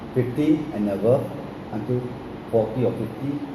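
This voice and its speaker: A man speaks at a moderate pace amid noticeable background noise. Audible room echo lingers around his voice. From Singapore. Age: 70s. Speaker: grandfather recalling wartime memories. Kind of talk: oral history interview.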